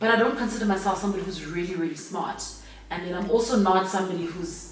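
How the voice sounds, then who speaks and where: A woman speaks at a very fast pace with an energetic tone and medium pitch, amid audible room echo and noticeable background noise. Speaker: radio host and entrepreneur. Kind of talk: casual interview. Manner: loud.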